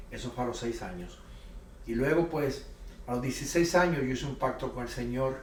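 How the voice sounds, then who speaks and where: Amid noticeable background noise and audible room echo, a man of medium pitch speaks at a fairly quick pace with fairly even intonation. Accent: Puerto Rican. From Puerto Rico. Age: 60s. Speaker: pastor and missionary. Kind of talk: interview testimony.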